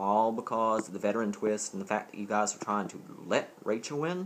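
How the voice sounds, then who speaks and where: Using lively intonation, a man with a Southern US accent speaks at a fairly low pitch. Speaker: vlogger. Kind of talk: casual vlog. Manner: rambling, distracted.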